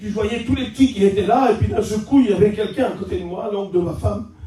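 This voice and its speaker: Loud and animated, the voice goes at a fairly quick pace. Audible room echo surrounds it. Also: man. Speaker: preacher. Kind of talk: sermon.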